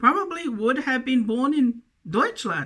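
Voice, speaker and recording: With a New Zealand accent, a woman speaks at a moderate pace. Her tone is bright and sharp, and her intonation is lively. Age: 50s. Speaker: self-styled preacher. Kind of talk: video monologue. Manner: halting.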